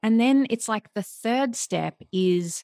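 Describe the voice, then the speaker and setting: Heard in a very clean recording with a silent background and a dry, close sound without echo, a woman with an Australian accent speaks at a fairly slow pace with lively intonation. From Australia, Melbourne. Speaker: life coach. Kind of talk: casual interview chat.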